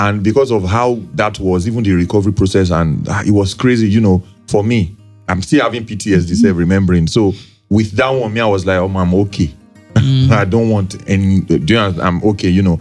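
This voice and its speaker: Fairly quick speech with ordinary pitch variation and faint music in the background. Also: man, fairly low pitch for a man. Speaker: podcast co-host. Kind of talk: casual podcast conversation. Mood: reflective, some laughter. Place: studio. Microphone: studio mic.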